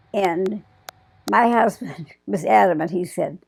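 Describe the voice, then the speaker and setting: Woman with an Upper Midwest accent. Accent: Upper Midwest American. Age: 80s+. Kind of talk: interview answer.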